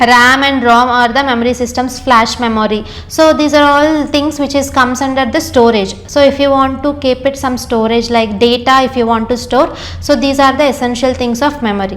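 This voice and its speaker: A high-pitched woman with an Indian accent at a moderate pace, hardly any pauses and fairly even intonation, amid audible room echo and noticeable background noise. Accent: Indian English, Telugu. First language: Telugu. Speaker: engineer and course trainer. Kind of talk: lecture. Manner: hesitant, many fillers.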